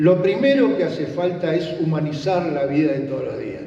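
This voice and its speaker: With audible room echo and noticeable background noise, a man speaks in a high pitch at a fairly slow pace. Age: 70s. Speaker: political trainer and trade union veteran. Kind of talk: lecture.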